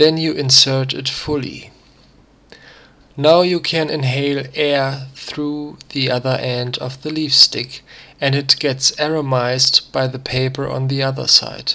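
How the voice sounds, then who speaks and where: Someone with a non-native accent speaks at a fairly slow pace in a bright, sharp tone. The intonation is flat and monotone throughout. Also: man. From Germany. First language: German. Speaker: crafter. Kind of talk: DIY tutorial narration read from script.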